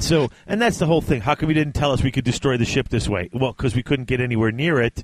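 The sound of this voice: The voice reads in an unforced way. Its pitch shifts are ordinary.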